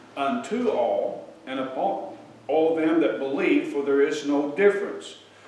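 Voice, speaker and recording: A man talks at a fairly slow pace in a room with audible echo. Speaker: preacher. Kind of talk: sermon, scripture reading. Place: church.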